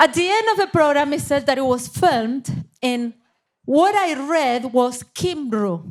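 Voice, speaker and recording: At a fairly slow pace, a woman speaks high in pitch with very wide pitch swings. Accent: Argentine. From Argentina, Buenos Aires. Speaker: missionary leader. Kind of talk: interview.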